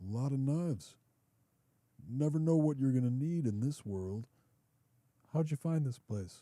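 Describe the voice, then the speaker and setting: Putting on a character voice, a man with a medium pitch speaks at a moderate pace with lively intonation and long, frequent pauses. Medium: read story.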